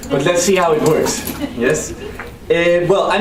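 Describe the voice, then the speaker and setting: Over noticeable background noise and audible room echo, a man talks at a high pitch. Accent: Spanish. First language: Spanish. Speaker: researcher. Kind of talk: conference talk. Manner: halting, repeats words.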